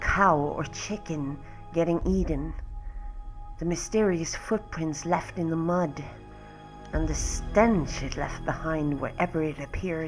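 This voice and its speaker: Music plays in the background as a woman speaks at a fairly slow pace, with long, frequent pauses. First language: not English. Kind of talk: horror story reading.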